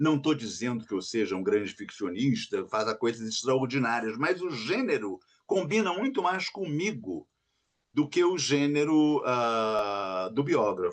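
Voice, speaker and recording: The man's voice is fairly high, with very wide pitch swings. He talks at a fairly slow pace. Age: 70s. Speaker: writer. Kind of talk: interview.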